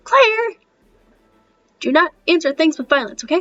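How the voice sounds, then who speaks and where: Putting on a squeaky character voice, a woman speaks at an extremely high pitch and a moderate pace with very wide pitch swings. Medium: read story. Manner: timid, stammering.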